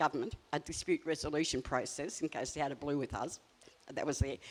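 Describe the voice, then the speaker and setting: Fairly quick speech from a woman in an Australian accent. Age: 70s. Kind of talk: panel discussion.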